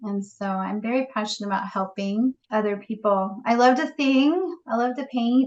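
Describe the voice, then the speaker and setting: A woman talks at a moderate pace with ordinary pitch variation. She uses hardly any pauses. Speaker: realtor. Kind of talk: interview.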